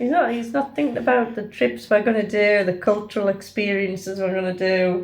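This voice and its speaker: A woman's unremarkable speaking voice, medium in pitch, at a moderate pace with lively intonation. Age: 60s. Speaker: travel vlogger. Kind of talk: casual chat; vlog narration. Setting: at home; train station.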